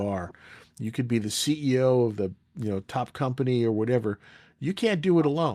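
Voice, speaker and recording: On a very clean recording with a silent background, a man with an American accent talks fairly quickly at a medium pitch, his tone dark and mellow and his intonation lively. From United States. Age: 60s. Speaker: leadership coach and retired navy master chief. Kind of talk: podcast interview.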